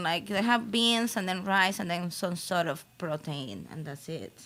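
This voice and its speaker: Speaking at a moderate pace, a woman has a Venezuelan accent. Her pitch is medium, with ordinary variation. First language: Spanish. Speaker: comedian. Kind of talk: casual chat.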